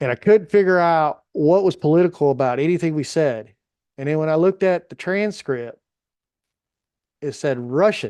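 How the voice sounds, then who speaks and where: A man speaks with a Southern US accent in a fairly high voice with a dark, mellow tone and lively intonation. The sound is dry and close with no echo, and the background is quiet. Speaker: fantasy football podcast host. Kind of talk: casual chat.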